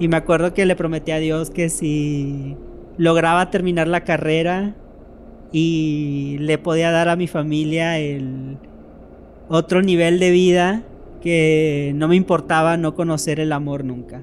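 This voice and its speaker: A man at a very slow pace, fairly high-pitched, with fairly even intonation and noticeable background noise. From Mexico, Tenosique, Tabasco. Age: 20s. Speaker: storyteller. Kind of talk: personal testimony.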